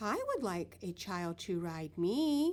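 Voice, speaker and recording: Over light background noise, a woman uses a put-on character voice at a medium pitch and a fairly slow pace. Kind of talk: classroom read-aloud. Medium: read story.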